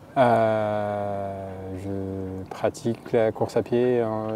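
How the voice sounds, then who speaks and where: This man speaks at a fairly low pitch with fairly even intonation. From France, Haute-Savoie (Annecy). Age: 30s. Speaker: trail runner and engineer. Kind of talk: interview. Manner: halting.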